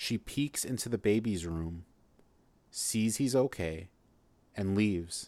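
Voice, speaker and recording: A man speaks very slowly in a fairly low voice with a dark, mellow tone, leaving long, frequent pauses. The recording is very clean with a silent background. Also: ordinary pitch variation. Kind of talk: horror story narration. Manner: dark, measured, ominous storytelling with hushed suspense; sinister first-person voice of a demonic narrator, building to a twist.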